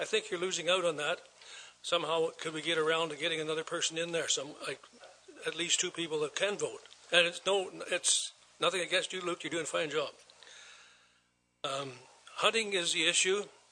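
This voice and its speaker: A man with an Ontario accent speaks at a fairly quick pace in a high voice, his intonation fairly even, broken by long, frequent pauses. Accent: rural Ontario Canadian. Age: 70s. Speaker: farmer, delegation speaker at council. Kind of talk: public delegation address. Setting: council chambers, microphone. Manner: halting.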